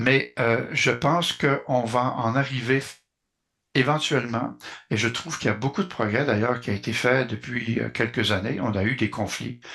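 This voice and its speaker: A man speaks at a moderate pace in a bright, sharp tone with vocal fry. His pitch variation is ordinary, and the background is quiet. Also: medium pitch for a man. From Quebec. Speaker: community volunteer. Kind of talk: interview. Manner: halting, many fillers.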